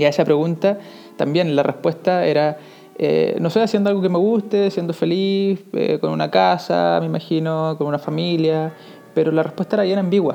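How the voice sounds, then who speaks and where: Music plays in the background as the speaker talks at a fairly quick pace, with very even loudness and ordinary pitch variation. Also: man, fairly high pitch for a man. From Chile. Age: 30s. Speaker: podcast host, motivational speaker. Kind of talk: motivational monologue. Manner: halting, many fillers.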